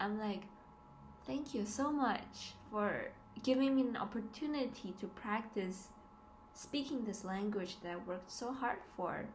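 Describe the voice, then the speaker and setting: A woman at a fairly high pitch, fairly slow in pace, with ordinary pitch variation and audible room echo. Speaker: student vlogger. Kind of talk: casual vlog. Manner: hesitant, many fillers.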